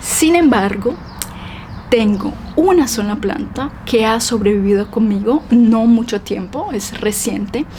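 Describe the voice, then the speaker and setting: A woman at a very slow pace and fairly high pitch, over noticeable background noise. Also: ordinary pitch variation. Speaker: Spanish teacher. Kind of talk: casual vlog talk to camera for language learners.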